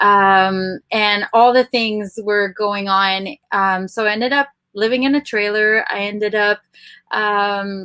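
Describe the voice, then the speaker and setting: A woman with a French accent and a medium pitch, bright and sharp in tone, at a very slow pace with fairly even intonation, in a dry, close recording with no echo. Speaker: podcast producer. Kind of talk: personal story in podcast chat.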